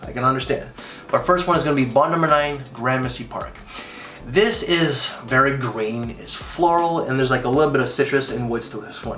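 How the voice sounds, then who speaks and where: Over music in the background, a man speaks at a fairly quick pace with big swings in loudness and audible room echo. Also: medium pitch for a man, ordinary pitch variation. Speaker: fragrance reviewer. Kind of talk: casual review vlog. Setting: at home in the morning. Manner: speaking quietly.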